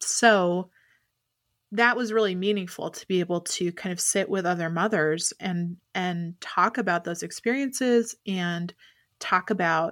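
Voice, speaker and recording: A woman with an American accent and an unremarkable speaking voice speaks at a fairly slow pace. Her medium pitch shows ordinary variation, in a very clean recording with a silent background. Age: 30s. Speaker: writer. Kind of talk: casual chat.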